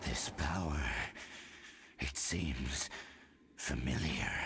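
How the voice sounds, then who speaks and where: In a put-on character voice, very deep and low, someone speaks at a very slow pace with a menacing tone over clear background noise. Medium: video game. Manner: menacing, cold.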